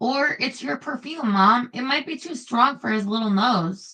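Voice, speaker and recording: Using a put-on character voice, a woman speaks high and raspy, with lively intonation at a moderate pace. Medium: read story.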